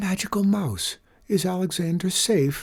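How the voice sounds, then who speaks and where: Moderate pacing and a middle pitch in a put-on character voice. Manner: trembling.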